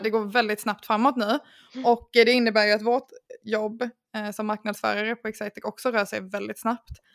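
A woman's unremarkable speaking voice, fairly high in pitch and fairly quick, with fairly even intonation, in a very clean recording with a silent background and a dry, close sound with no echo. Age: 20s. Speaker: podcast host, marketer. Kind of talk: casual chat.

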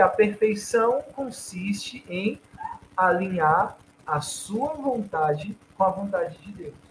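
Pitched high for a man, this male voice has lively intonation. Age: 30s. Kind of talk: casual chat.

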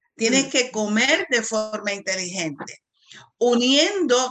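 A woman talks at a very slow pace. Her fairly high voice has lively intonation. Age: 60s. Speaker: pharmacist. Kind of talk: casual chat.

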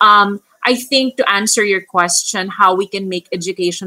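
Medium in pitch, a woman has an unremarkable speaking voice with lively intonation. The sound is dry and close with no echo. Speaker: special education teacher. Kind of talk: panel discussion.

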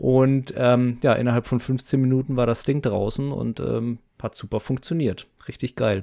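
A man's dark, mellow, medium-pitched voice, fairly slow, with fairly even intonation. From Baden, southwest Germany. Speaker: marketing manager. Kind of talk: casual chat.

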